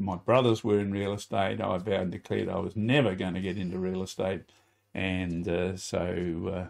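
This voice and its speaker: A man with an Australian accent and a very deep, low pitch talks at a moderate pace with fairly even intonation. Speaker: former real estate agent. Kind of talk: interview. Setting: studio. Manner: halting.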